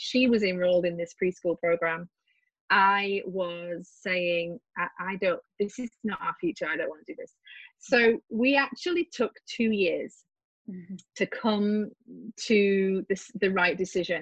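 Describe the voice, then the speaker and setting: Against a quiet background, a woman talks at a fairly slow pace. Her voice is somewhat breathy, with ordinary pitch variation. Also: medium pitch for a woman, dry, close sound with no echo. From central England, near Stratford-upon-Avon. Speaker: homeschooling mother and author. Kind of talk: interview conversation.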